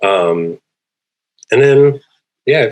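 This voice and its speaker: A man talks at a very slow pace. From Canada, Cree community. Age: 30s. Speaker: comedian and filmmaker. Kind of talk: panel discussion. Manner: halting, many fillers.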